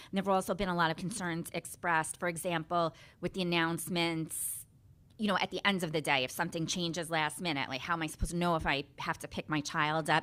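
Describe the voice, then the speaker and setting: A woman's bright, sharp voice at fairly low pitch, very fast in pace, with fairly even intonation, in a very clean recording with a silent background. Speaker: parent speaking at public comment. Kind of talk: public comment at school board meeting.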